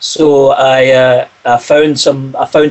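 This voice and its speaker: A man talks with a Scottish accent. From Scotland, Glasgow. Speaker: singer-songwriter. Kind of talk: interview.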